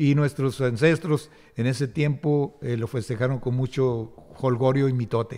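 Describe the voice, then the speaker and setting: A man at a fairly slow pace, fairly even intonation and a dark, mellow tone, over a quiet background. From Nuevo León, Mexico (Pesquería, raised in Monterrey); Nuevo León, Mexico. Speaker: municipal chronicler. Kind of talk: interview about local history; interview answer. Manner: halting, with many fillers. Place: hall. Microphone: podium.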